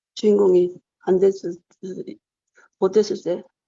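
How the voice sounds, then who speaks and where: Fairly slow, medium-pitched speech from a woman, in monotone, flat intonation. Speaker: Parkinson's patient giving a testimonial. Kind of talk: testimony. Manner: halting.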